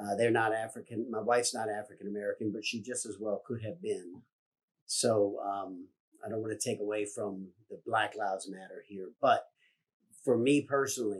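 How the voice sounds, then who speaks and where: A man's fairly low voice in a Virginia accent at a moderate pace. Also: fairly even intonation. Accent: Southern US (Virginia). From US South, rural Virginia. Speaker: business owner. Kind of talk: public statement.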